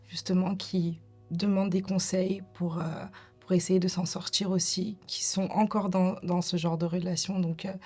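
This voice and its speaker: A woman's medium-pitched voice at a fairly slow pace, monotone and flat, with very even loudness and music in the background. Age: 30s. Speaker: domestic violence survivor. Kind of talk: testimony. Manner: hesitant, many fillers.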